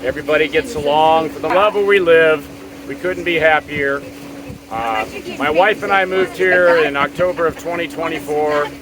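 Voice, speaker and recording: A man with an American accent, fairly high pitch, ordinary pitch variation and a moderate pace, over noticeable background noise. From Florida. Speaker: tiny home community resident. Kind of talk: casual interview. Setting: outdoors on a boat on a lake.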